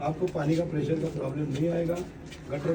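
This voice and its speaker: A man's fairly high voice at a moderate pace, with fairly even intonation, noticeable background noise and audible room echo. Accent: Marathi. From Maharashtra, India. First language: Marathi (speaking Hindi). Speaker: local election candidate, politician. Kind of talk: campaign speech to residents.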